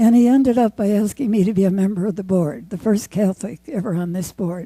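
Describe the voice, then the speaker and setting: A woman speaks with a dark, mellow tone at a medium pitch. Her voice is somewhat breathy. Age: 80s+. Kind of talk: award acceptance speech.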